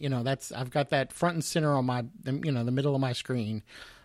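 A man with a Southern US accent speaks on a very clean recording with a silent background. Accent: Southern US twang. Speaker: podcast host. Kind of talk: casual tech podcast discussion.

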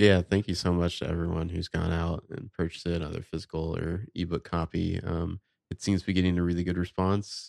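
This man's very deep, low voice moves at a fairly quick pace with hardly any pauses, in a monotone, flat delivery. The sound is dry and close with no echo, and the recording is very clean with a silent background. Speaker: podcast host. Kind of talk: casual chat.

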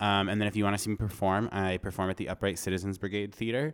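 Fairly low-pitched and with an American accent, a man talks very fast. His intonation is fairly even, and the recording is very clean with a silent background. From Vermont, US. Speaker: actor and comedian. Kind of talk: casual chat. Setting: studio.

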